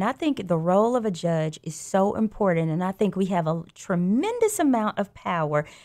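A woman's medium-pitched voice with a Southern US accent, lively intonation and a moderate pace, in a very clean recording over a silent background. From Alabama, Birmingham. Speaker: judge. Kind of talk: radio interview. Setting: studio.

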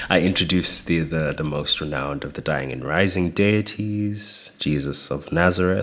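Against noticeable background noise, a man speaks with a very deep, low pitch and ordinary pitch variation. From South Africa, Gauteng East Rand. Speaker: performance artist. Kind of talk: interview.

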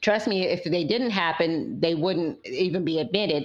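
Over noticeable background noise, a woman with an American accent talks at a moderate pace with ordinary pitch variation. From London, then Fort Lauderdale, Florida. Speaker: university professor. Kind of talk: interview conversation.

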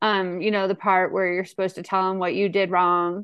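A woman speaks with a Midwestern accent. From St. Louis, Missouri (US Midwest). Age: 40s. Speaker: AA speaker. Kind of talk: recovery testimony. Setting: video call. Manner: halting, many fillers.

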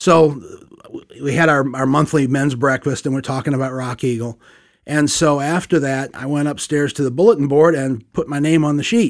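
Speaking with an American accent, a man has a normal speaking voice at a fairly high pitch. He keeps a moderate pace with ordinary pitch variation. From US Midwest, Saint Louis. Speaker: church discipleship leader. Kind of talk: interview testimony.

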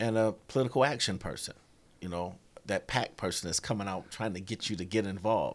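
An unremarkable speaking voice, this man with an American accent talks at a fairly quick pace in a fairly low pitch with ordinary pitch variation. The recording is very clean, with a silent background. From Rochester, New York. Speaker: auto worker and union volunteer. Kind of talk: casual interview.

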